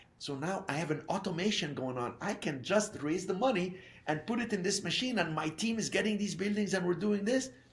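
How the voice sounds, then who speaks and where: Fairly quick, with hardly any pauses, a man speaks at a high pitch with lively intonation, amid audible room echo and noticeable background noise. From Egypt. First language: French or Arabic. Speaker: real estate investor. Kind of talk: interview.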